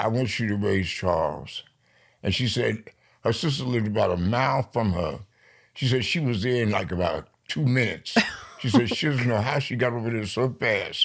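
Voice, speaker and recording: A man speaks at a medium pitch and moderate pace with an American accent, in an ordinary speaking voice. His pitch variation is ordinary, and the recording is very clean with a silent background. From New York. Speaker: poet. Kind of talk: interview.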